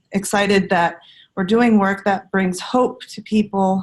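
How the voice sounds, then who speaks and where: Speaking at a medium pitch, a woman has a somewhat breathy voice. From Alaska (Inupiaq, Atqasuk). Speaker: community outreach coordinator. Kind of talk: self-introduction.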